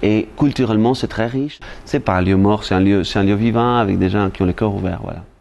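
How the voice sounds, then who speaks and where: Intonation stays fairly even as the man talks. He keeps a fairly quick pace. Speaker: storyteller. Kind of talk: interview answer.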